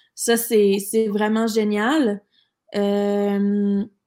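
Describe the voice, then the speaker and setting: A woman speaks with a Quebec accent, her pitch fairly high and her tone dark and mellow. The recording is very clean, with a silent background. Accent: Québécois French. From Quebec City, Quebec. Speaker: entrepreneur. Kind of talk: interview.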